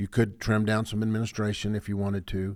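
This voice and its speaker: With a West Texas accent, a man speaks at a moderate pace. His pitch is fairly low. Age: 60s. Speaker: sports podcast co-host. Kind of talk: casual chat.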